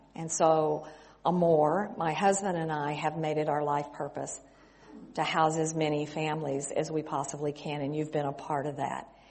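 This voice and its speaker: A woman's very deep, low voice with an American accent, monotone and flat, at a moderate pace with audible room echo. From West Texas. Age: 60s. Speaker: missionary. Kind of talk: sermon.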